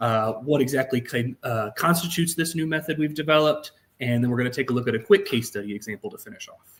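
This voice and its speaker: Somewhat breathy, a man with an American accent speaks at medium pitch with lively intonation. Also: big swings in loudness. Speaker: statistics researcher. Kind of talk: webinar lecture.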